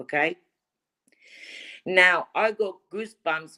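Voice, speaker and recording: Ordinary pitch variation is heard from a woman speaking with a non-native accent. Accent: foreign. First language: not English. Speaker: livestream caller. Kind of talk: casual chat. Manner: halting.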